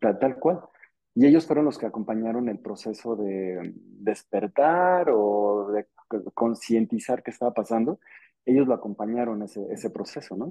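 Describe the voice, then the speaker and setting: A man's medium-pitched voice, lively intonation, and a fairly slow pace. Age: 40s. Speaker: contactee and company director. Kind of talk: interview testimony. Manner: halting, many repetitions.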